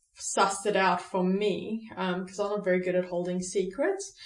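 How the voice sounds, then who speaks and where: Noticeable background noise is present here. A woman talks at a moderate speed. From South Africa. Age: 30s. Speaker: recovery speaker. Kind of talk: personal testimony interview. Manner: halting, many fillers.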